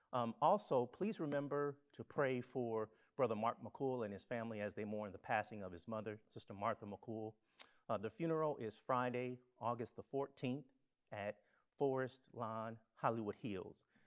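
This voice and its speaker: A man keeps a moderate pace, and the background is quiet. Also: ordinary pitch variation. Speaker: church minister. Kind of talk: church announcements and prayer. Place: church.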